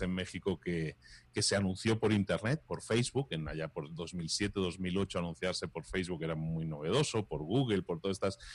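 With a very deep, low pitch and ordinary pitch variation, a man speaks at a moderate pace over a quiet background. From Spain. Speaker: entrepreneur and podcaster. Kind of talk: interview.

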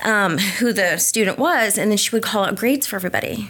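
A woman speaks at a fairly quick pace in an unremarkable speaking voice, medium-pitched, with ordinary pitch variation. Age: 40s. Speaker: dyslexia therapist. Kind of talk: interview.

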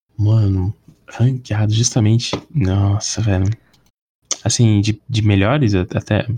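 Speaking very slowly with long, frequent pauses, a man uses a fairly low pitch, a somewhat breathy voice, and a fairly even intonation. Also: very even loudness. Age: 20s. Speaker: podcast guest, film enthusiast. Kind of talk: casual chat.

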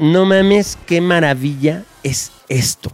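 A man speaks in an animated tone. His voice sits high in pitch. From Mexico City. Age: 40s. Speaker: film producer and director. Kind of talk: casual interview chat.

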